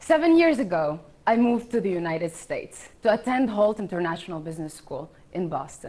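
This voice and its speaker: With a non-native accent, a woman speaks in a dark, mellow tone, her pitch swinging very widely. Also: medium pitch for a woman, fairly quick pace. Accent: foreign. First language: not English (English is her third of five). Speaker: startup founder. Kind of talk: pitch presentation.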